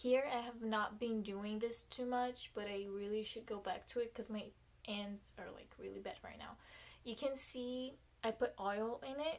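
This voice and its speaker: A woman with a Portuguese accent speaks at a fairly high pitch and a fairly slow pace, with fairly even intonation. Her loudness swings widely, and there is noticeable background noise. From Brazil. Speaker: beauty vlogger. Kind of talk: tutorial. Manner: casual, hesitant with fillers.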